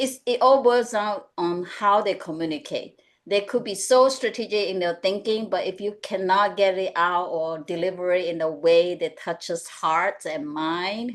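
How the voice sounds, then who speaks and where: Against a quiet background, a woman with a Mandarin accent speaks at a moderate pace and medium pitch, with ordinary pitch variation and hardly any pauses. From Malaysia. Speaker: executive coach. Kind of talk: webinar panel discussion.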